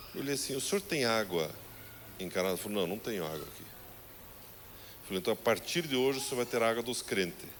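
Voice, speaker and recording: A man at a moderate pace and fairly low pitch is heard through noticeable background noise. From southern Brazil. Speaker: pastor. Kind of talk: sermon. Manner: animated.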